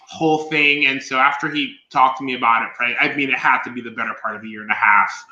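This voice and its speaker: Amid noticeable background noise and audible room echo, a man speaks at a very fast pace with medium pitch and fairly even intonation. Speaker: podcaster and fashion stylist. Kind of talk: casual chat. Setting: live stream.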